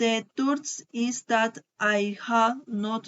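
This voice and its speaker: Ordinary pitch variation in a woman's fairly high-pitched voice. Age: 20s. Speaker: student. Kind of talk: language class recording, self-introduction and recipe. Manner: halting.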